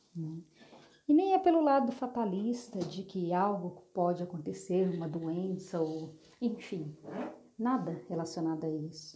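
A woman, pitched fairly low, uses a normal speaking voice with ordinary pitch variation. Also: fairly slow pace. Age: 30s. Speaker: therapist. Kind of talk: solo monologue.

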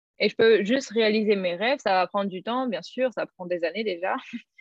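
A woman's unremarkable speaking voice, fairly high in pitch, with ordinary pitch variation. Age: 20s. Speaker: former au pair. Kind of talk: interview.

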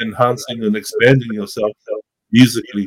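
The voice has an American accent and ordinary pitch variation. It moves at a moderate pace. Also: man. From Tonga. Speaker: MC, youth worker and musician. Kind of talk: casual interview chat.

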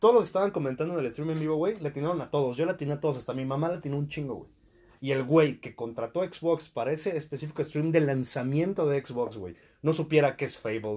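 A man talks at a very fast pace with a fairly high pitch and ordinary pitch variation. His tone is dark and mellow. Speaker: podcast host. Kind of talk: casual chat.

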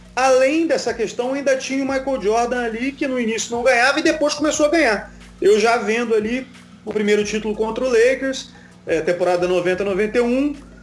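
With music in the background, a man speaks at a moderate pace in an extremely high pitch. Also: ordinary pitch variation. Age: 30s. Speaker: sports TV commentator. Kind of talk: casual chat.

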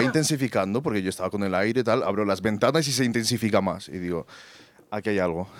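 A man with an unremarkable speaking voice and ordinary pitch variation. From Colombia. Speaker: photographer. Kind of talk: storytelling. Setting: stage with audience.

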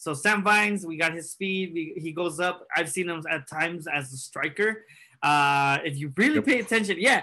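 A man with an American accent speaks at a moderate pace in a high, bright, sharp voice, with ordinary pitch variation over a quiet background. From California. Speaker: soccer podcast co-host. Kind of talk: casual banter podcast.

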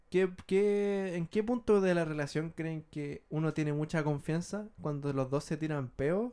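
In a very clean recording with a silent background, a man with a dark, mellow tone and a fairly high pitch speaks at a fairly slow pace with ordinary pitch variation. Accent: Chilean. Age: 20s. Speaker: podcast host. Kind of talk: casual chat.

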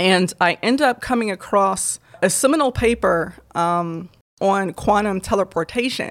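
With an American accent, a woman speaks fairly slowly in an ordinary speaking voice at medium pitch, her intonation lively and her loudness very even. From Michigan, Southfield near Detroit. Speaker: physics doctoral student. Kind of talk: interview.

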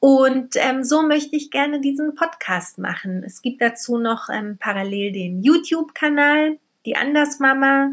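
A woman talks slowly, though not very slowly, at a high pitch. Her intonation is lively. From Berlin, Germany. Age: 30s. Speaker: podcast host, single mother. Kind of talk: casual monologue.

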